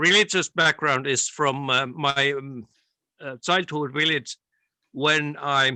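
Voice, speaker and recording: A man speaks with a Finnish accent at a very slow pace. His tone is bright and sharp. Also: dry, close sound with no echo. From Finland, Tampere area. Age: 60s. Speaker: interviewee. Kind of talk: interview. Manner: halting.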